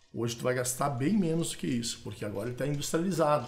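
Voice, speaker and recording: Speech moves at a very fast pace with audible room echo and music in the background. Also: man. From Brazil, interior of Rio Grande do Sul, German ethnicity. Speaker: supplement creator, entrepreneur. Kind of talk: podcast conversation. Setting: studio podcast table. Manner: talkative, hesitant repetitions.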